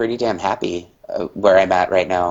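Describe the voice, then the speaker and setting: With an American accent, a man speaks at a fairly slow pace in a fairly low voice with fairly even intonation. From US Midwest, southeastern Indiana. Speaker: hotel food and beverage worker. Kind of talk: interview. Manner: halting, many fillers and restarts.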